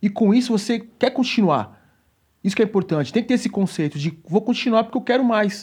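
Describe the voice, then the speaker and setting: On a very clean recording with a silent background, a high-pitched man speaks at a fairly quick pace with very even loudness. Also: ordinary pitch variation. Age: 40s. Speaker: personal trainer. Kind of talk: casual chat.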